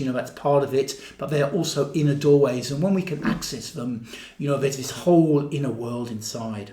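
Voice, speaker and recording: With noticeable background noise and audible room echo, a man speaks at a moderate pace in a fairly high voice with ordinary pitch variation. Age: 60s. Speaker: body-based therapy and mysticism teacher. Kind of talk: casual monologue to camera. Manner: repetitive, halting with filler words.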